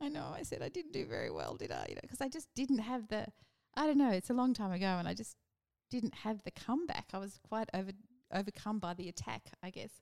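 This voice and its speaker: Lively intonation marks this woman's medium-pitched voice, which has an Australian accent. She speaks at a very fast pace. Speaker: politician, former union leader. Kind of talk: casual interview.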